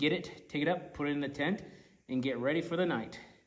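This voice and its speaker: With audible room echo around him, a man speaks using lively intonation. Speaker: outdoor adventure vlogger. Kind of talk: casual vlog narration. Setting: outdoors in the desert at night.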